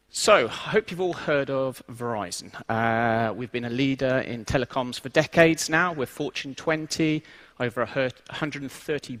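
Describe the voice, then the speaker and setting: Speaking at a moderate pace with an English accent, a man shows ordinary pitch variation in a very clean recording with a silent background. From England. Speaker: IT transformation lead, conference speaker. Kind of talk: conference talk. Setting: stage with audience.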